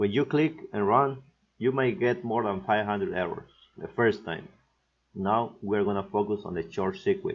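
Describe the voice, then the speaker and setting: Using a Mexican accent, a man with a fairly low pitch speaks at a moderate pace with lively intonation. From Mexico. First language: Spanish. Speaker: PCB design instructor. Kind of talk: software tutorial narration.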